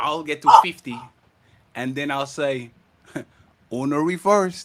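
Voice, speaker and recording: Using a bright, sharp tone, a man with a non-native accent speaks at a fairly slow pace with ordinary pitch variation. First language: not English. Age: 30s. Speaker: podcast panel host. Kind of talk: heated debate. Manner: animated.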